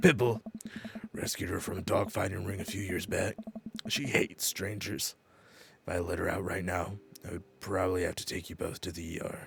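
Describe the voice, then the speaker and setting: Doing a put-on character voice, a man speaks raspy and very deep, low, with fairly even intonation and a deadpan tone at a fairly quick pace broken by long, frequent pauses. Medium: game stream. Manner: gruff, deadpan.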